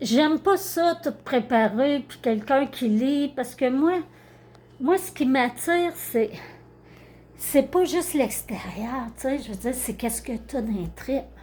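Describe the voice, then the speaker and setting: A woman with a Quebec accent, high-pitched and very slow, with lively intonation and big swings in loudness. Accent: Québécois French. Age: 60s. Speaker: karaoke YouTuber. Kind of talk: casual vlog monologue. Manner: spontaneous, unscripted, hesitant.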